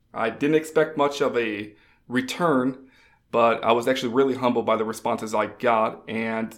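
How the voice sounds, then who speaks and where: This man has a plain, everyday voice, medium in pitch, delivered at a moderate pace with fairly even intonation. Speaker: fantasy football analyst. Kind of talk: casual chat.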